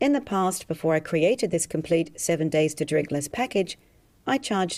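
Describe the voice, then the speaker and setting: A woman with an Australian accent, fairly low in pitch, with a dark, mellow tone, lively intonation and a fairly quick pace. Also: very clean recording, silent background. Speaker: hypnotherapist selling a program. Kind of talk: sales pitch.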